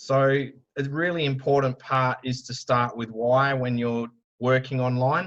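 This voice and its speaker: Fairly even intonation comes from a man with an Australian accent. His pitch is medium. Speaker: digital marketing speaker. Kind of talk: conference talk. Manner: loud.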